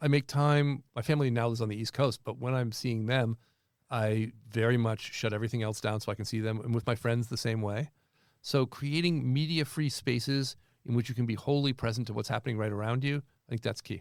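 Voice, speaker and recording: In a very clean recording with a silent background, a man with a medium pitch and an ordinary speaking voice speaks at a fairly quick pace with fairly even intonation. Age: 60s. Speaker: professor. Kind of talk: interview.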